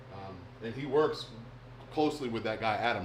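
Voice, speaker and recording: A man speaks very fast with an American accent and ordinary pitch variation. Audible room echo surrounds the voice. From US South (Alabama, Texas, Florida; Navy family). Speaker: bait maker. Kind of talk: live stream chat. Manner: casual, filler-heavy.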